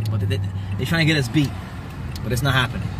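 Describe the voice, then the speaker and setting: Noticeable background noise surrounds a man's voice in a dry sound with no echo. His pitch varies in an ordinary way. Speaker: vlogger. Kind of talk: casual vlog chat. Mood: annoyed but joking. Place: car. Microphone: phone near.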